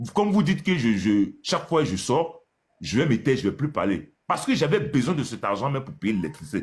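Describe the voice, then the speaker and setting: A man at a moderate pace with vocal fry and very wide pitch swings. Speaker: landlord. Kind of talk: live call-in complaint. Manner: soft-spoken, rising in volume; halting.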